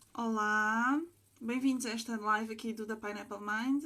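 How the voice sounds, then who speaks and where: Her pitch is fairly high, and her pace is fairly slow. The woman's intonation stays flat and monotone. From Portugal (Sintra). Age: 20s. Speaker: livestream host. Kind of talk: interview. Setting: livestream.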